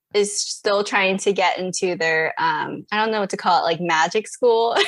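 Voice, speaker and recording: Speaking at a fairly slow pace with an American accent, a woman keeps a medium pitch with ordinary pitch variation. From California, Fresno. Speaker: podcaster and pastor's kid. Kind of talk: casual interview chat.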